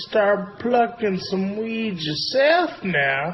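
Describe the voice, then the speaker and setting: Over clear background noise, a man does a high-pitched, put-on character voice at a very slow pace. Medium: machinima. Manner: drawling, folksy.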